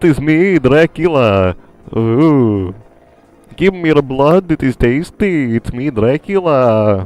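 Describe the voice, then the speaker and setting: The pace is fairly slow. A man's put-on character voice sits at a medium pitch. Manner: theatrical, menacing, playful.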